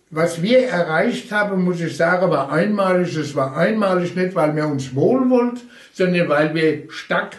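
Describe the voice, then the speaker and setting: A man speaks with lively intonation, his pitch high for a man. Audible room echo surrounds his voice. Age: 80s+. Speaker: retired railway union official. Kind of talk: oral history interview.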